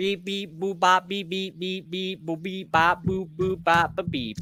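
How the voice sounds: Using a robotic put-on character voice, a man talks at a fairly slow pace and a high pitch.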